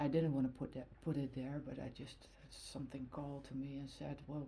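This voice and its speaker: Somewhat breathy, a woman with a Dutch accent speaks in a dark, mellow tone at a very deep, low pitch. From Netherlands. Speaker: tarot card reader. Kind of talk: tarot reading. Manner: halting, many fillers.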